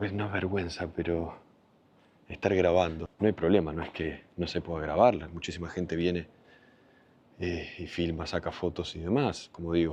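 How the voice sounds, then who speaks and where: A quiet man with a very deep, low pitch, at a moderate pace with fairly even intonation. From Argentina, Buenos Aires. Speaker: travel vlogger. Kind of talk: travel vlog. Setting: outdoors in a cemetery. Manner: speaking quietly.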